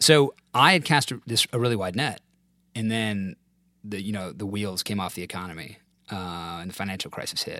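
A man with an American accent and a plain, everyday voice speaks at a moderate pace, using a fairly low pitch with ordinary pitch variation, in a very clean recording with a silent background. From US South. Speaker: former corporate lawyer. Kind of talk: casual interview.

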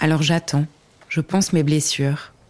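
With a very deep, low pitch and monotone, flat intonation, a woman speaks at a fairly slow pace in a dry, close sound with no echo. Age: 30s. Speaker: podcast host. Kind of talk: personal testimony.

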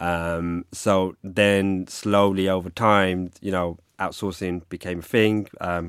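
In a London accent, a man speaks very slowly at a very deep, low pitch with monotone, flat intonation, in a very clean recording with a silent background. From London (Hackney). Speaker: cybersecurity risk executive. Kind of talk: interview conversation. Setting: studio. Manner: hesitant, many fillers.

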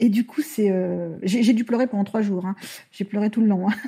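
A woman speaks with a dark, mellow tone that is somewhat breathy. Her pace is moderate and her pitch varies in an ordinary way. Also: very clean recording, silent background. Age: 40s. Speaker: mother using a wheelchair, adoptive parent. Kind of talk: interview testimony.

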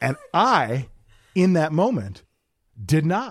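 With an animated tone and very wide pitch swings, a man with an American accent talks at a fairly high pitch with vocal fry. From Wisconsin, South Milwaukee. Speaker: podcast host. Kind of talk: casual chat. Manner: animated storytelling.

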